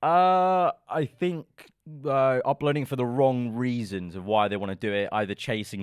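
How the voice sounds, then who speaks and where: Man with a London accent at a moderate pace, very clean recording with a silent background, dry, close sound with no echo. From London, England. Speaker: F1 content creator. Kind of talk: casual interview chat. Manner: casual, hesitant fillers.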